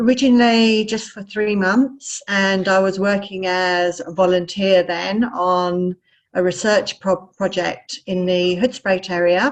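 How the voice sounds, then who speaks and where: This woman talks at a fairly slow pace. She has a British accent. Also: medium pitch for a woman, ordinary pitch variation. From England. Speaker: wildlife researcher. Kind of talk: presentation.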